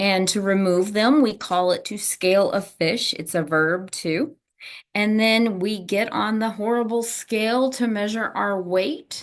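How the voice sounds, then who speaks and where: This woman has a slight Southern US accent and a medium pitch with ordinary variation. She speaks at a fairly slow pace over a quiet background. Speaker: teacher, test prep instructor. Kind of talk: lecture. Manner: casual, conversational.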